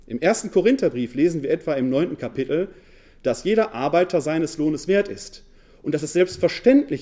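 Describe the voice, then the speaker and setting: This man's tone is dark and mellow, with lively intonation. He talks at a moderate pace. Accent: Ruhr. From Ruhr area, Essen. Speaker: New Testament scholar and pastoral worker. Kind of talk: lecture. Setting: lecture hall with audience.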